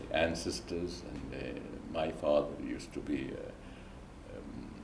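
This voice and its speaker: Noticeable background noise runs through the clip. Audible room echo can also be heard. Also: man. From Lebanon. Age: 70s. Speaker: retired engineer and banker. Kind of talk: interview, life story. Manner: halting, many fillers.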